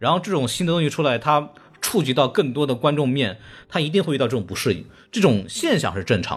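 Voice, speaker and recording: Rushing at a very fast pace, a man with a fairly high pitch swings very widely in pitch, with vocal fry. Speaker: podcast host and film critic. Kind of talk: casual chat. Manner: animated.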